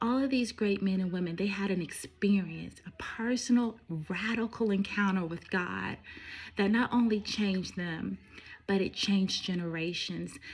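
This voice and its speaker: Somewhat breathy, a woman speaks at medium pitch. Her pace is moderate, with ordinary pitch variation. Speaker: faith vlogger. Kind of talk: devotional talk.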